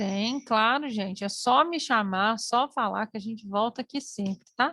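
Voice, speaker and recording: At a fairly slow pace, a woman speaks in an unremarkable speaking voice, fairly high in pitch with ordinary pitch variation, the sound dry and close with no echo. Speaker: teacher. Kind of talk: online lecture.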